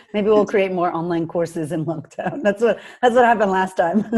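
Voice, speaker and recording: A woman with a Boston accent speaks at a moderate pace and medium pitch, with ordinary pitch variation and long, frequent pauses. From Boston, US. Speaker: confidence coach, online entrepreneur. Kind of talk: podcast interview.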